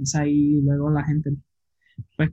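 A somewhat breathy, dark, mellow tone comes from a man with a fairly high pitch. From Puerto Rico, Isabela. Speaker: underwater photographer. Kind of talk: casual interview.

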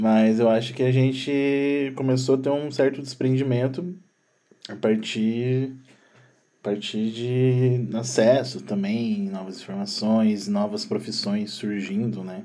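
This man talks at a very slow pace, with ordinary pitch variation. His voice has a dark, mellow tone. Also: medium pitch for a man. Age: 30s. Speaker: sound producer. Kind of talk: casual chat.

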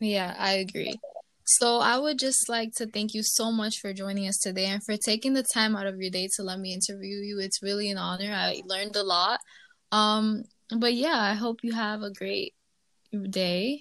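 Bright and sharp in tone, a woman speaks with an American accent at a moderate pace. Her intonation stays fairly even. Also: medium pitch for a woman, quiet background. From New York, the Bronx. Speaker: student podcast host. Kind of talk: casual podcast narration and interview.

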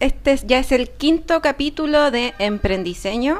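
A woman with a Chilean accent speaks at a fairly slow pace with lively intonation. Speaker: podcast co-host. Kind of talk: casual chat.

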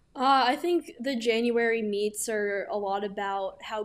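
A woman with an American accent and an unremarkable speaking voice talks at a fairly high pitch with fairly even intonation in a very clean recording over a silent background. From New York City, Manhattan. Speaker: college swimmer. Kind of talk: casual interview.

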